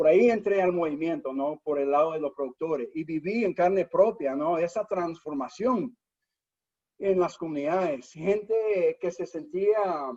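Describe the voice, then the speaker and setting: A man's high voice with a dark, mellow tone, ordinary pitch variation and a fairly slow pace. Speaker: nonprofit founder and CEO. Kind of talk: webinar interview. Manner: many hesitations and repeated words.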